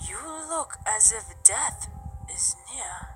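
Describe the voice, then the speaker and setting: Someone whispers in a put-on character voice over clear background noise. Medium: read story. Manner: rhyming, rhythmic.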